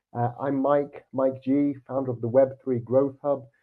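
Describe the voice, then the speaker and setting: A man speaks at a moderate pace with a British accent, his pitch sitting in the medium range. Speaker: podcast host. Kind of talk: casual chat; interview.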